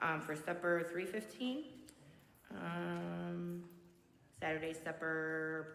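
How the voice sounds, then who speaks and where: With audible room echo, a woman speaks at a very slow pace, leaving long, frequent pauses. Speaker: school cafeteria staff. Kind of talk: announcements to school assembly. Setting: school chapel assembly, live-streamed. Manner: loud.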